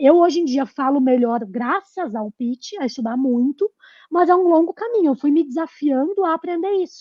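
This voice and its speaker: Her high-pitched voice rises and falls with lively intonation as the woman speaks. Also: moderate pace. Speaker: entrepreneur, newsletter author. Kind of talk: podcast interview.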